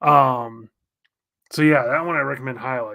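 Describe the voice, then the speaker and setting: A man speaks at a fairly slow pace in a bright, sharp tone, with a fairly high pitch and ordinary pitch variation. The recording is very clean with a silent background. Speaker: comic artist streamer. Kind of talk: casual livestream chat. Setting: live stream while drawing.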